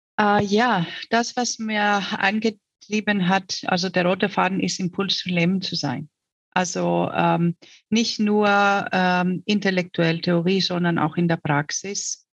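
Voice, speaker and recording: Very slow female speech, intonation fairly even throughout. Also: medium pitch for a woman. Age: 50s. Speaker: mayoral candidate. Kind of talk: interview. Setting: online call.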